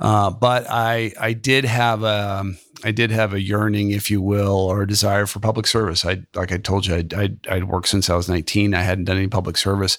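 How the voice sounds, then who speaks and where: A plain, everyday voice from a man with an American accent, fairly low in pitch and fairly quick, on a very clean recording with a silent background. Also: fairly even intonation. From US West Coast (Silicon Valley). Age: 50s. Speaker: venture capitalist. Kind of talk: interview.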